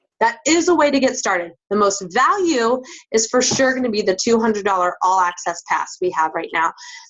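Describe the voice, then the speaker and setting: The speaker's pitch swings very widely. The pace is fairly quick. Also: woman, fairly high pitch for a woman. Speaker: fitness business coach. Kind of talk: recruiting pitch. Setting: group call. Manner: fast.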